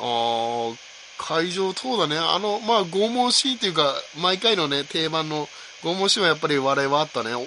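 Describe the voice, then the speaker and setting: Over noticeable background noise, a man talks in a fairly high pitch with very wide pitch swings. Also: moderate pace. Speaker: podcast host. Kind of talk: casual chat. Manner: soft-spoken. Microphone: recorded on iPod and iPad, may be quiet.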